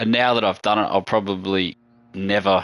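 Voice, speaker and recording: This man has an Australian accent and a fairly low pitch. His tone is bright and sharp over a quiet background. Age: 40s. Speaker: gaming streamer. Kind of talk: live gameplay stream chat. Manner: casual, rambling with false starts.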